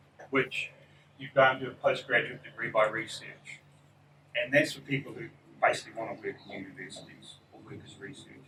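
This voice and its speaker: With a bright, sharp tone, a man speaks at a fairly quick pace and fairly even intonation, his loudness swinging widely amid audible room echo. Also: medium pitch for a man. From New Zealand. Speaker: psychology professor. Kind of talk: lecture. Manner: fast.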